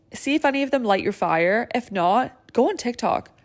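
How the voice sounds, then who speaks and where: The recording is very clean with a silent background as a woman talks at a moderate pace, her pitch varying in an ordinary way. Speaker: podcast host, lash artist business owner. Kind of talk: casual solo podcast talk.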